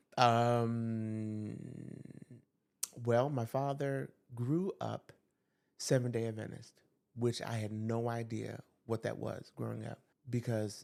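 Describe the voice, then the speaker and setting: A man with a New York accent, at medium pitch and a fairly slow pace. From US Northeast, New York. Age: 60s. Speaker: school teacher. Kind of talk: podcast interview.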